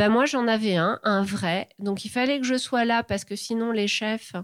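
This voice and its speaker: The recording is very clean, with a silent background and a dry, close sound free of echo. A woman speaks at a fairly high pitch with fairly even intonation. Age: 40s. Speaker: former engineer turned illustrator. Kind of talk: interview. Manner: halting.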